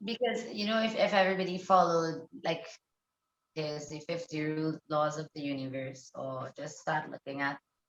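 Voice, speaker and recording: With a non-native accent, a woman speaks at a moderate pace and a very deep, low pitch. Her intonation is lively, and the sound is dry and close with no echo. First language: not English. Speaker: shamanic healer. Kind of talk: casual chat.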